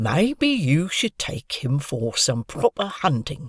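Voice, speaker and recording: Using a put-on character voice, a man speaks at a fairly high pitch with lively intonation and a fairly slow pace. The sound is dry and close with no echo. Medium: read story. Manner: loud, simple.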